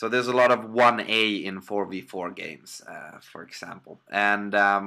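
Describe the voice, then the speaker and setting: A man with a Swedish accent speaks at a fairly low pitch in a bright, sharp tone with ordinary pitch variation. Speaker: amateur game caster. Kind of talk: live game commentary. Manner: hesitant, many fillers. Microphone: poor laptop audio.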